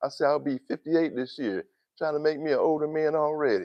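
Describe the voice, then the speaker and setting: A man's high-pitched voice at a fairly quick pace, relaxed in tone, against a quiet background. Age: 50s. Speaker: YouTube livestreamer. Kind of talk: casual livestream chat. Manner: rambling, relaxed.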